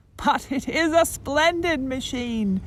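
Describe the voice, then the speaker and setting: A female-sounding, put-on character voice speaks at a high pitch and a fairly slow pace. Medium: read story. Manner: pompous.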